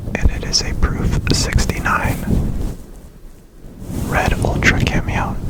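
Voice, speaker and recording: A whisper creeps along at a very slow pace, broken by long, frequent pauses, with noticeable background noise. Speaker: ASMR creator and coin collector. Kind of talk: ASMR coin showcase, whispered talk to camera. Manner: quiet, soft-spoken, slow.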